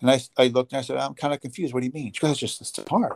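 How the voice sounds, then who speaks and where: A man's medium-pitched voice with a New Jersey accent, the sound dry and close with no echo. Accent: New Jersey American. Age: 50s. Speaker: chiropractor. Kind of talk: interview. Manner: halting.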